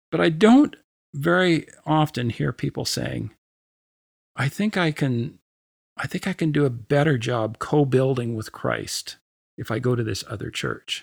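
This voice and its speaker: A man with a medium-pitched voice talks at a fairly slow pace, with lively intonation and long, frequent pauses. The sound is dry and close with no echo, and the recording is very clean with a silent background. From Canada. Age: 60s. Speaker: church speaker and mission volunteer. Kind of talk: interview conversation. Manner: halting, with frequent fillers and repeats.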